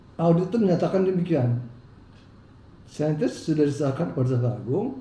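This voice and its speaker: Against audible room echo, a man with fairly high pitch talks at a fairly quick pace with very wide pitch swings. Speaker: businessman in legal dispute. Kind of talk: interview.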